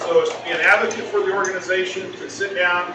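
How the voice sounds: Audible room echo surrounds a man whose fairly high voice moves at a fairly quick pace with fairly even intonation.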